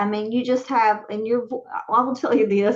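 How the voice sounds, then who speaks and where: With a Southern US accent, a woman speaks at a fairly quick pace in a high pitch. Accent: Southern accent, noticeable. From West Virginia. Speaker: talk show host. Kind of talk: casual interview chat.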